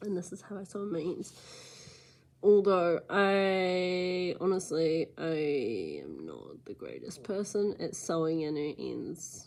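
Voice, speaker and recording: A woman talks at a very slow pace in a New Zealand accent. Her loudness swings widely. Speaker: crochet tutorial maker. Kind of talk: tutorial. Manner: casual and chatty.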